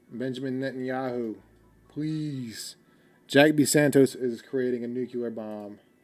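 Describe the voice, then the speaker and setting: With music in the background, a man talks with fairly even intonation. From United States. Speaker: livestreamer. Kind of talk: casual livestream chat with viewers. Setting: livestream. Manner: casual, rambling with filler words.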